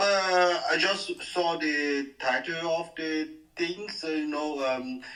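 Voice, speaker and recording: Music plays in the background as a man with a high pitch speaks very slowly, his intonation fairly even. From France. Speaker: caller, insurance and banking worker. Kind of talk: call-in conversation. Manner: halting.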